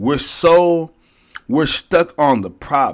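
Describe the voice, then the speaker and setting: A man speaks in an animated tone. He has an American accent. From Houston, Texas. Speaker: life coach and podcast host. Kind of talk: motivational faith podcast monologue.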